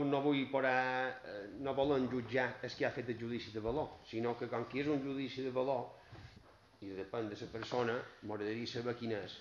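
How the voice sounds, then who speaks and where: A man at a fairly slow pace with fairly even intonation, audible room echo and light background noise. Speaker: opposition councillor. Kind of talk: heated municipal council debate. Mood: critical, complaining. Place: meeting room.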